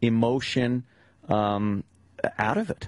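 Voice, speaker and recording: A man with a normal speaking voice talks in a medium pitch and fairly even intonation, the sound dry and close with no echo. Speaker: radio show host. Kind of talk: radio talk show interview. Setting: studio.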